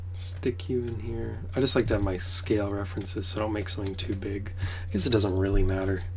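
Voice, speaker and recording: A man with a very deep, low voice speaks quietly at a very fast pace in a flat monotone, with audible room echo and noticeable background noise. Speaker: pixel art streamer. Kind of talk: casual livestream commentary. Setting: in a trailer on a trip.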